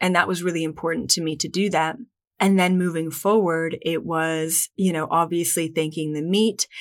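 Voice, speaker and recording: A woman speaks at a moderate pace in a fairly low pitch, her intonation flat and monotone, on a very clean recording with a silent background. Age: 20s. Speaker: spiritual podcast host. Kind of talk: solo podcast monologue.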